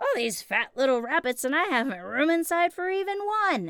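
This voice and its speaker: Using a put-on character voice, a woman talks at a moderate pace with a high pitch. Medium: read story.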